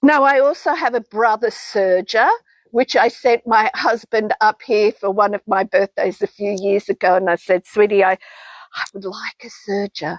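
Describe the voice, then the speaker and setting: This woman speaks with an Australian accent at a moderate pace. Her pitch is fairly high, with ordinary pitch variation. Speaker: textile artist. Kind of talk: product demonstration.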